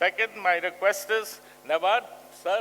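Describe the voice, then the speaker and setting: A man speaks in a raised, projected voice with a bright, sharp tone. His pitch is high, with ordinary variation. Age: 80s+. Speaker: microfinance pioneer being honored. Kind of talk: conference speech.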